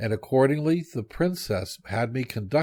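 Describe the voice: Plain reading aloud is all this clip holds.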